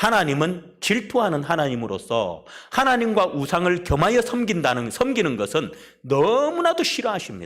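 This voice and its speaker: Audible room echo surrounds a man speaking at a moderate pace, his high pitch rising and falling in very wide swings. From South Korea, Busan. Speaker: pastor. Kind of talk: sermon. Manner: emphatic.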